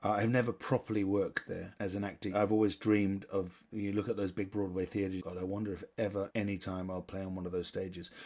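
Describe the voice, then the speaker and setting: Speaking very fast with hardly any pauses, a man with a British accent holds a monotone, flat intonation at a fairly low pitch. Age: 60s. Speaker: theatre director and actor. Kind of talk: interview.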